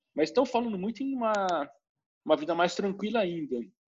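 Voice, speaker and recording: This man talks fairly quickly in a high voice, his pitch swinging very widely. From Brazil. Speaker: engineer and educator. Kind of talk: casual interview chat.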